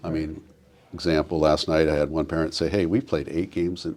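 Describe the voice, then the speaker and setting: In a Pacific Northwest accent, a man with a very deep, low pitch and a dark, mellow tone speaks at a fairly quick pace. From Oregon coast (Newport). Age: 60s. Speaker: business leader and youth coach. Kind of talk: podcast interview. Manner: animated.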